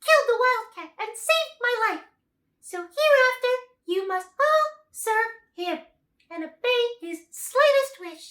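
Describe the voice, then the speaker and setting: Squeaky and extremely high-pitched, a woman does a put-on character voice. She speaks at a fairly slow pace. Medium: read story. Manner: dignified.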